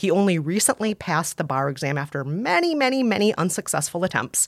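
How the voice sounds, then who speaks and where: A woman with an American accent and a normal speaking voice talks at a fairly quick pace with a fairly low pitch and lively intonation. The recording is very clean, with a silent background. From US Midwest (Scandinavian area). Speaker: culture critic and podcast co-host. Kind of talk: casual advice chat with film recommendations. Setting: studio.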